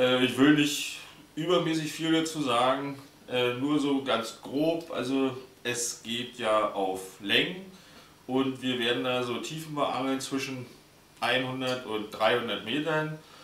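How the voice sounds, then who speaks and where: At a very slow pace, a man talks with ordinary pitch variation amid audible room echo. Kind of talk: tutorial. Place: home room. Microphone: camera far.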